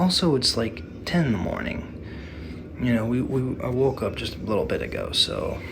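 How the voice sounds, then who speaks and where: A quiet man with an American accent, amid noticeable background noise and audible room echo. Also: moderate pace. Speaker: gaming YouTuber. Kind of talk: casual vlog monologue. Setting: hotel room. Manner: quiet, low energy; halting, many fillers.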